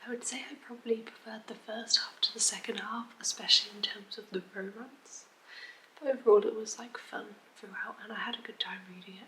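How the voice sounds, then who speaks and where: A soft-spoken woman with an English accent, fairly even intonation and a fairly quick pace, amid noticeable background noise. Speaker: book vlogger. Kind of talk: casual vlog.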